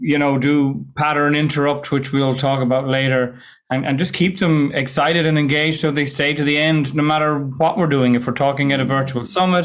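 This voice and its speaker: A man with an Irish accent speaks at a fairly quick pace with hardly any pauses, his fairly high voice holding very even loudness and fairly even intonation amid audible room echo. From west of Ireland. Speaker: presentation skills coach. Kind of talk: podcast interview. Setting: remote call.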